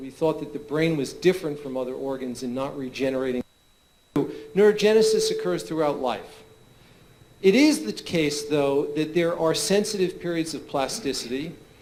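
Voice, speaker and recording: With noticeable background noise and audible room echo, a man talks at a moderate pace in a fairly high voice with lively intonation. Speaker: neuroscientist. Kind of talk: conference Q&A.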